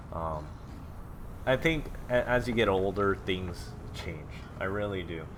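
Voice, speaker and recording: A man's very deep, low voice with long, frequent pauses and audible room echo. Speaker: gaming video blogger. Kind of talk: casual monologue while gaming. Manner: halting, filler-heavy.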